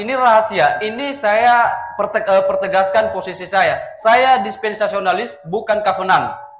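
A man's high-pitched voice at a moderate pace, with ordinary pitch variation, audible room echo and light background noise. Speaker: Protestant debater. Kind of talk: theological debate. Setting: video call. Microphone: video call.

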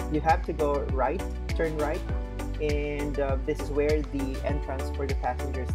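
Moderate pace with clear music in the background. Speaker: travel vlogger. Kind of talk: casual vlog tour narration. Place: street. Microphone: phone near.

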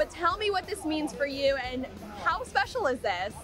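A woman with an extremely high pitch talks at a fairly quick pace, her pitch making very wide swings. The sound is dry with no echo, but noticeable background noise is present. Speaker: news reporter. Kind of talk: news report narration and interview questions. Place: hall. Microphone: handheld.

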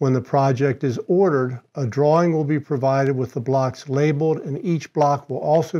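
A man's medium-pitched voice with a dark, mellow tone, moderate pace and fairly even intonation

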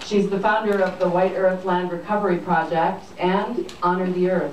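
Audible room echo and light background noise surround the recording. A woman speaks at a fairly slow pace. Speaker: event host introducing speaker. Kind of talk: speaker introduction. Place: hall.

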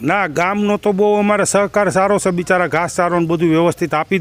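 High pitch for a man, with ordinary variation in that pitch. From Gujarat, Gondal area (Saurashtra). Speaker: former village head and cow shelter founder. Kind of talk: interview.

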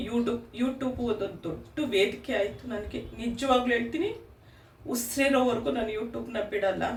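Heard with audible room echo and noticeable background noise, a woman talks at a fairly high pitch with ordinary pitch variation. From Udupi, coastal Karnataka. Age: 50s. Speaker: vlogger. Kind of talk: personal story to camera. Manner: emotional, chatty.

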